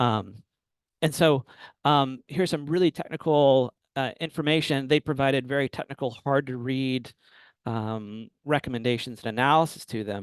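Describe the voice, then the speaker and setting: A man with a normal speaking voice, a medium pitch, ordinary pitch variation and a moderate pace. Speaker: urban planner presenting a webinar. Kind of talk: webinar presentation. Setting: webinar.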